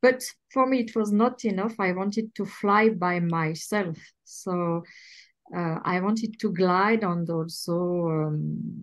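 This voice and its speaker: At a very slow pace, a woman with a French accent speaks at a medium pitch with ordinary pitch variation. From France, Swiss border region. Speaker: glider pilot. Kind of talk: interview.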